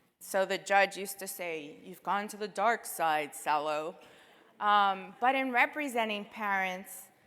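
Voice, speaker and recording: In a very clean recording with a silent background, a woman with an American accent speaks at a fairly slow pace in a medium pitch, with ordinary pitch variation, big swings in loudness and a bright, sharp tone. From New York City. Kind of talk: keynote speech. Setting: stage with audience.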